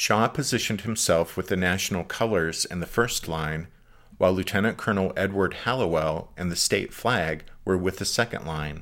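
Over a very clean recording with a silent background, a man with a very deep, low pitch speaks at a moderate pace in a dramatic tone, with ordinary pitch variation. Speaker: podcast host. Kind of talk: history documentary narration. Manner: formal, measured, dramatic narrator's delivery.

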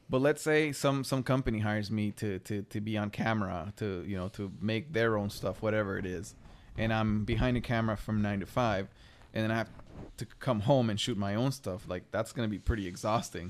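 This man has an ordinary speaking voice, fairly low in pitch. He talks at a fairly quick pace with ordinary pitch variation. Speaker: single parent. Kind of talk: casual chat.

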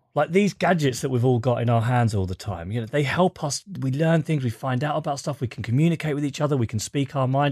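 A man speaks at a fairly high pitch in a somewhat breathy voice. The recording is dry and close with no echo, against a quiet background. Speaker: journalist and author. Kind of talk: interview.

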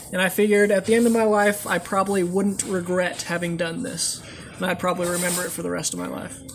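A man speaks very fast in a high pitch with fairly even intonation over noticeable background noise. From moved around, military family (US). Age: 20s. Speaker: long-distance walker. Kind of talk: interview. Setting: restaurant.

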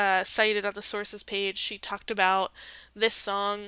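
Medium-pitched female speech with a bright, sharp tone. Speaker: podcast host. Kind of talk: solo podcast commentary. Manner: casual with many fillers.

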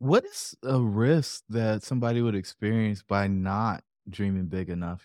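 A very clean recording with a silent background captures a man with a plain, everyday voice, a fairly low pitch and ordinary pitch variation. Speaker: podcast host. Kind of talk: casual interview conversation.

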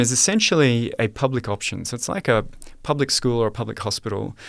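Someone talks at a very fast pace with an Australian accent. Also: man. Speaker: economist and author. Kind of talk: interview.

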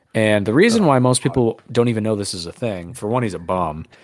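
A man with an ordinary speaking voice talks at a fairly quick pace in a fairly low pitch, with ordinary pitch variation. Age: 20s. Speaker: podcast co-host. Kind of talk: casual chat.

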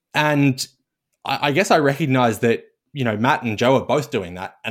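An Australian accent at a fairly quick pace, with ordinary pitch variation, on a very clean recording with a silent background. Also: man. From Australia, Melbourne. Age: 20s. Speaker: portfolio manager. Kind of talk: casual chat. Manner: halting, frequent repetitions.

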